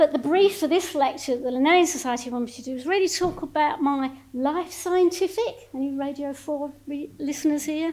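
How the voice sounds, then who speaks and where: The voice moves at a fairly quick pace with hardly any pauses, ordinary pitch variation and big swings in loudness. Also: woman, high pitch for a woman. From Essex, Thames estuary (Grays, Thurrock). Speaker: emeritus professor of plant sciences. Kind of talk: public lecture. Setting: lecture hall with live audience. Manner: conversational, informal.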